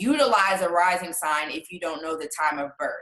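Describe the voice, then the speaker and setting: Here is a woman with an animated, bright and sharp tone. Her pitch sits in the medium range and varies in an ordinary way. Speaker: astrology teacher. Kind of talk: online class lecture. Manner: casual, animated.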